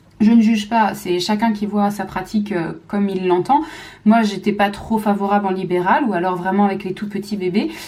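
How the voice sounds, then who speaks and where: There is audible room echo and noticeable background noise as a woman of medium pitch speaks with fairly even intonation. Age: 30s. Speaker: physiotherapist and mother vlogger. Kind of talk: casual talk to camera. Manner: fast; hesitant with many fillers.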